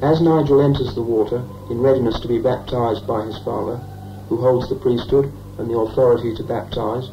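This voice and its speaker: The delivery keeps a moderate pace. Noticeable background noise is present. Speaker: film narrator. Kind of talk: documentary narration. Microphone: old recording.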